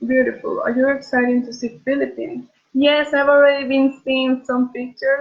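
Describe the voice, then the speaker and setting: In a Bolivian accent, a woman speaks at a high pitch. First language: Spanish. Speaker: beauty pageant contestant. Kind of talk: casual livestream chat answering viewer questions. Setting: at home, live video stream. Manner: halting, with repeated words.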